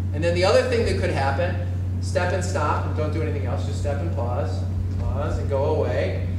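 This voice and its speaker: Very deep and low, a man's voice stays monotone and flat. Noticeable background noise and audible room echo fill the recording. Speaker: fencing coach. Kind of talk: tutorial. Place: gym.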